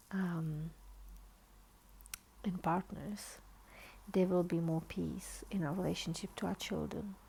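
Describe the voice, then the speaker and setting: Quiet and very slow, a woman speaks with long, frequent pauses. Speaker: author and therapist. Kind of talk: informal talk after book reading. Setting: at home, dim lighting, child sleeping nearby. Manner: quiet, hushed.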